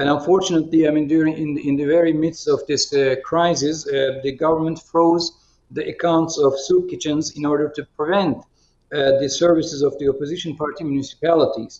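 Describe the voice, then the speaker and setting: In a Turkish accent, a man talks at a fairly quick pace with hardly any pauses, a fairly high pitch and monotone, flat intonation. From Turkey. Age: 50s. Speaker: politician. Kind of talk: video conference discussion. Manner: halting, many fillers.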